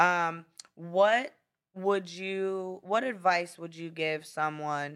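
The speaker is a woman with an American accent. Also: very clean recording, silent background. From Brownsville, Pennsylvania and Florida. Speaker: lawyer and podcast host. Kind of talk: casual interview chat.

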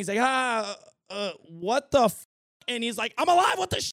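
The sound is dry and close with no echo as a man talks at a fairly quick pace. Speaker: YouTube podcast host. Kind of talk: casual solo commentary. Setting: studio. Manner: casual, conversational.

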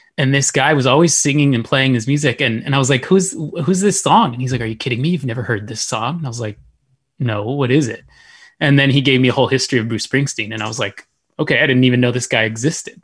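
Somewhat breathy, a man with an American accent talks at a very fast pace. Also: medium pitch for a man, ordinary pitch variation, quiet background. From Texas, El Paso. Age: young. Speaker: podcast co-host. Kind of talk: casual chat. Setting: livestream.

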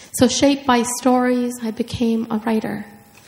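A woman speaks in a fairly high pitch with flat, monotone intonation. Background noise is noticeable. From Minnesota, Hmong refugee family. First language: Hmong. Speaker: writer. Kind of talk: author talk and reading aloud. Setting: stage with audience.

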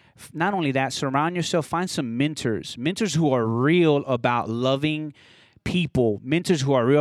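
A very clean recording with a silent background of a man in a plain, everyday voice, fairly high in pitch, with ordinary pitch variation at a moderate pace. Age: 30s. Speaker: DJ. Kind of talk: testimony. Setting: cigar shop recording.

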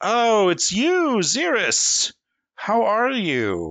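Putting on a character voice, a man speaks at a high pitch and a very slow pace.

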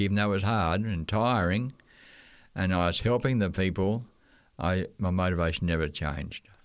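A man with an Australian accent speaks at a fairly quick pace in a very deep, low pitch. His loudness stays very even, and his pitch varies in an ordinary way. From Australia, Queensland. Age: 80s+. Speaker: retired missionary teacher. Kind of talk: casual interview, recalling stories. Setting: radio studio.

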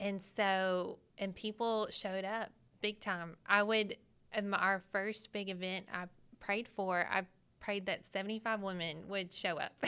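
In a Southern US accent, a woman with a bright, sharp tone and medium pitch speaks at a fairly slow pace with monotone, flat intonation on a very clean recording with a silent background. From Arkansas. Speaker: pastor's wife and graphic designer. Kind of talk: casual chat.

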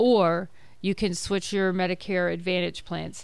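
A woman with a medium pitch speaks at a moderate pace in a normal speaking voice. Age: 60s. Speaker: Medicare advisor. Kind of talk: radio panel interview. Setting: radio studio.

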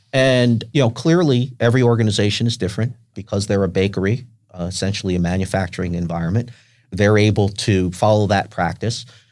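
Here is a man with a plain, everyday voice and an American accent, pitched fairly low with ordinary pitch variation. His pace is fairly quick, and the recording is very clean with a silent background. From New York, Westchester County. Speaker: nonprofit executive. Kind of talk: interview.

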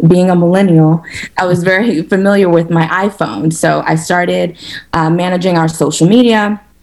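An ordinary speaking voice comes from a woman with an American accent, pitched fairly low. She keeps a moderate pace and fairly even intonation. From New York, Harlem. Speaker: restaurant co-owner. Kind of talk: interview.

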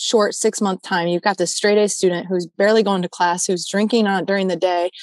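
With a Midwestern American accent, a woman speaks at a very fast pace in a medium pitch and fairly even intonation. The sound is dry and close with no echo, against a quiet background. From Michigan, southeast of Detroit. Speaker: anti-trafficking advocate. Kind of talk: testimony.

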